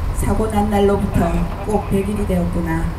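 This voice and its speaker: A woman talks at a fairly slow pace. Noticeable background noise sits behind her. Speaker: bereaved mother of a disaster victim. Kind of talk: letter reading at a memorial rally. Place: stage.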